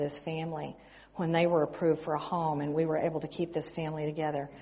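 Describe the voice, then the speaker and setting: A woman's very deep, low voice at a very fast pace. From West Texas. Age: 60s. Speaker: missionary. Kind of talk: sermon.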